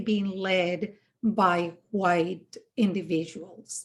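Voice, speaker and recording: Speaking with a Spanish accent, a woman has a dark, mellow tone and a somewhat breathy quality, captured on a very clean recording with a silent background. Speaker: podcast host. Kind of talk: interview conversation. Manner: hesitant, many fillers.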